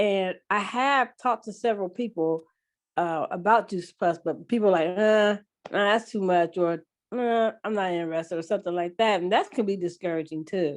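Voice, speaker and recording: A woman talks at a moderate pace, her medium pitch showing ordinary pitch variation. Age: 60s. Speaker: new team member on a call. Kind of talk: casual group call question. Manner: halting.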